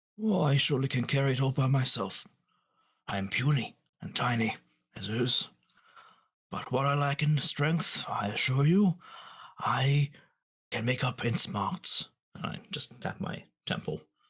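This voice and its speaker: In a put-on character voice, someone speaks raspily at a moderate pace with lively intonation and long, frequent pauses. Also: man, medium pitch for a man. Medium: actual play. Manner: polite, wordy.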